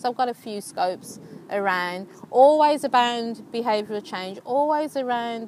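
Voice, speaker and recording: Fairly high-pitched woman with a Birmingham accent, fairly slow pace and lively intonation. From England, Birmingham. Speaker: life coach. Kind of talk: live stream chat. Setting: outdoors. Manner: animated.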